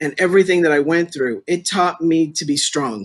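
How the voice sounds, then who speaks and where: A man with a plain, everyday voice, a fairly high pitch and ordinary pitch variation. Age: 60s. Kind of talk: interview.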